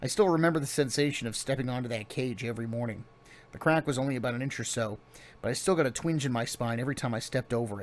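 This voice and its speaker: Raspy and very fast, a put-on character voice moves with ordinary pitch variation in a very clean recording with a silent background. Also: man, medium pitch for a man. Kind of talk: memoir audiobook reading. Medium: read story. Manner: plain.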